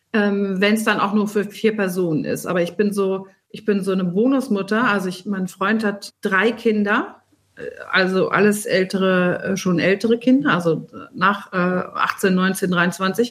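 Here is a woman with an ordinary speaking voice at a medium pitch. She keeps a moderate pace and fairly even intonation. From rural Germany, small farming village. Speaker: recipe developer and food columnist. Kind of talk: casual chat.

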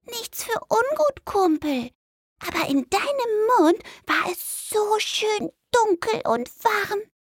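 In a put-on character voice, a woman goes squeaky and extremely high-pitched. Her delivery is very slow. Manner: cheeky, friendly.

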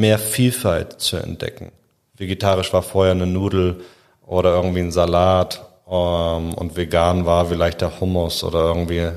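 A man speaks in a very deep, low pitch at a moderate pace with monotone, flat intonation. The recording is very clean, with a silent background. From Hamburg, northern Germany. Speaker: founder of a refugee gastronomy training program. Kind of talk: podcast interview.

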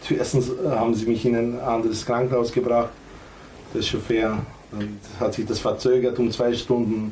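With noticeable background noise and audible room echo, a man speaks at a medium pitch and moderate pace in a monotone, flat intonation, leaving long, frequent pauses. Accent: Macedonian. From North Macedonia. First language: Macedonian (speaking German). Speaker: former footballer, coach and club owner. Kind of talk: casual chat.

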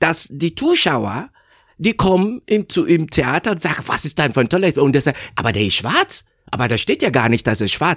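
A man speaks at a moderate pace and a fairly high pitch, with very wide pitch swings and vocal fry. The sound is dry and close, with no echo. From Nigeria. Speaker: actor. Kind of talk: interview. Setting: studio. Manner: halting, many fillers.

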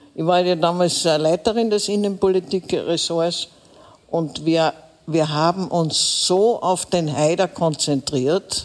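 A woman's fairly slow speech amid noticeable background noise. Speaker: veteran political journalist. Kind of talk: live panel discussion.

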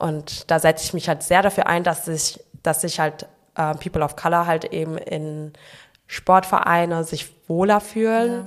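An unremarkable speaking voice talks at a fairly slow pace with fairly even intonation. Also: woman, fairly low pitch for a woman. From Frankfurt, Germany. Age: 20s. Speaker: long jumper. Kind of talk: casual interview chat.

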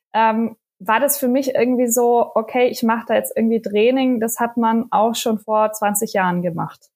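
A woman's fairly high voice, fairly slow and fairly even in intonation, on a very clean recording with a silent background. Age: 30s. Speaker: mother of two sharing postpartum experience. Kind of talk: casual interview chat. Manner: hesitant, many filler sounds.

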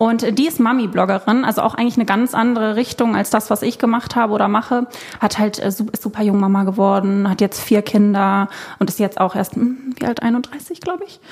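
A woman talks at a fairly quick pace in a fairly high pitch with ordinary pitch variation. Noticeable background noise runs underneath. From Germany, Cologne. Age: 20s. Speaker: content creator and former flight attendant. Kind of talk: casual chat.

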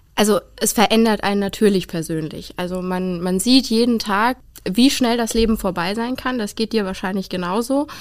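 This woman has an unremarkable speaking voice, medium in pitch, with ordinary pitch variation and a moderate pace. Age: young. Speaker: funeral director. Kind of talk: interview.

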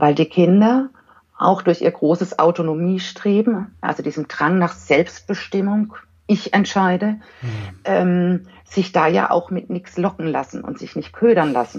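At a fairly slow pace, a woman talks in a somewhat breathy voice of medium pitch. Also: lively intonation. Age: 40s. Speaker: giftedness educator and parent counselor. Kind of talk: podcast interview.

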